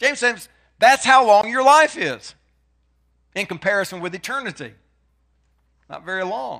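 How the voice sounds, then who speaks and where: A raised, projected voice with a bright, sharp tone, very wide pitch swings and big swings in loudness, at a moderate pace with long, frequent pauses, on a very clean recording with a silent background. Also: man, high pitch for a man. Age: 60s. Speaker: preacher. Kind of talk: sermon.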